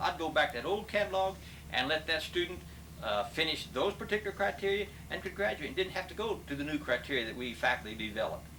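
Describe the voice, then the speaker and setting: Over noticeable background noise, a man with a Midwestern American accent talks at a very fast pace in a fairly high voice with very wide pitch swings. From Kansas. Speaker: retired business professor. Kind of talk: interview.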